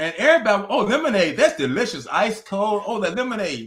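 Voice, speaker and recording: A man speaks in a high pitch with a Southern US accent. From US South, North Carolina. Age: 80s+. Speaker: author and minister. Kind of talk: interview. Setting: video call.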